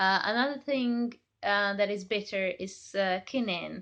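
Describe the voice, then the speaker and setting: Against a quiet background, a woman with a Hungarian accent speaks at a fairly slow pace and medium pitch, with a bright, sharp tone and fairly even intonation. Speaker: chocolate maker. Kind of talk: tutorial. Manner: hesitant, many fillers.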